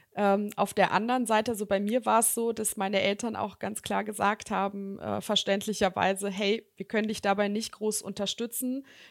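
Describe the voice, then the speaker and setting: Speaking at a moderate pace, a woman uses a fairly high pitch and a monotone, flat intonation, recorded very cleanly against a silent background. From Germany, Bonn. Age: 30s. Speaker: executive recruiter. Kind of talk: podcast interview.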